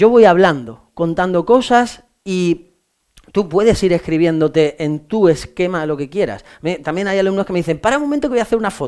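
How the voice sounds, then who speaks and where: A man speaks in a high voice with an animated tone. His intonation is lively. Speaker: law exam-prep teacher. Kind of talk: lecture. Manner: fast.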